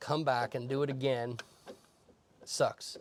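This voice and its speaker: Speaking at a moderate pace, a man delivers his words in a monotone, flat intonation. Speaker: mobile mechanic. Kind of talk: casual rant while working. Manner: rambling, going in circles.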